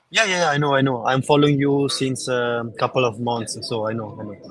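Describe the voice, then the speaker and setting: Here a man speaks in an Italian accent at a fairly quick pace. His pitch is medium, with ordinary variation. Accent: Italian, non-native English. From Italy. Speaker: network marketer caller. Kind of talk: live call-in coaching. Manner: halting.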